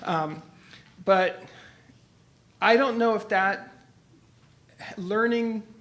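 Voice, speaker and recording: A man is heard with audible room echo. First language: Italian and French. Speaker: engineer and professor. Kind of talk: conference talk. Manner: halting.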